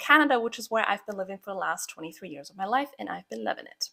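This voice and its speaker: A woman's fairly high, bright, sharp voice with a slight Croatian accent, very fast pace and a dry, close sound with no echo. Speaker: podcast host, pharmacist and habit coach. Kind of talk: personal story podcast monologue. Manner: casual, conversational.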